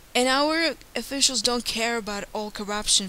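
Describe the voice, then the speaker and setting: Her pitch shows ordinary variation. The woman talks at a moderate pace. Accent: Ukrainian. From Ukraine. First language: Ukrainian or Russian. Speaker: YouTuber. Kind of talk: monologue. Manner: earnest.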